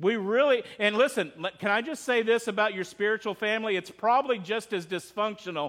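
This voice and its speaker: A high-pitched man talks at a fairly quick pace with lively intonation and hardly any pauses. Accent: Texan. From Texas. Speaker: pastor. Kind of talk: sermon. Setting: church.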